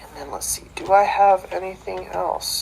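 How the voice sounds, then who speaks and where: The speaker talks at a moderate pace with noticeable background noise. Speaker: wrestling podcast host. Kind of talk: casual podcast chat.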